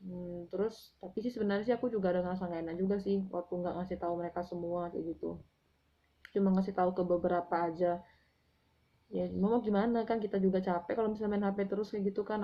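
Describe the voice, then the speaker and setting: At a very fast pace, a woman speaks in a medium pitch with monotone, flat intonation. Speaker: book author and vlogger. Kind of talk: casual vlog monologue. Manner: hesitant, with fillers.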